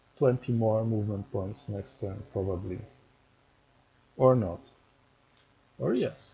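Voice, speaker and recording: The voice has a dark, mellow tone and is somewhat breathy, with ordinary pitch variation. Long, frequent pauses break up the speech. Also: man, fairly low pitch for a man. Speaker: strategy game tutorial creator. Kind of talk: gameplay tutorial. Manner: halting, stumbling speech.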